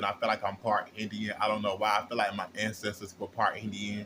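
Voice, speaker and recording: This man talks at a very fast pace in a bright, sharp tone. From Florida, US South. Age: 20s. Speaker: vlogger. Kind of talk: casual monologue. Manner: frequent fillers.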